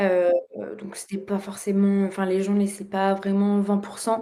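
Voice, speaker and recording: The woman's voice is medium in pitch with a dark, mellow tone. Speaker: former exchange student. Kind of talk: casual podcast interview. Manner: hesitant, many fillers.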